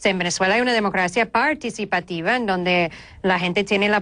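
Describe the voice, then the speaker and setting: A woman's voice with a slight American accent and ordinary pitch variation. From United States. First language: English (speaking Spanish). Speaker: journalist and lawyer. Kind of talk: TV interview. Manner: halting.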